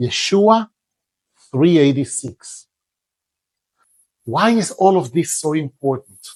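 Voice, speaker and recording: A man speaks very slowly with an Israeli accent and a somewhat breathy voice. His pitch swings very widely, in a dry, close sound with no echo. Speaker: religious teacher. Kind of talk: religious lecture.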